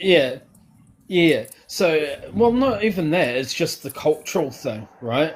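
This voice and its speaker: Very wide pitch swings at a very slow pace, in a New Zealand accent. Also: man, fairly high pitch for a man. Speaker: caller. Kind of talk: casual chat.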